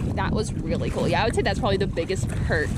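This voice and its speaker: A man speaks in a dry recording with no echo, over loud background noise. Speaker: travel vlogger. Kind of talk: casual vlog chat. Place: boat. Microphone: phone near.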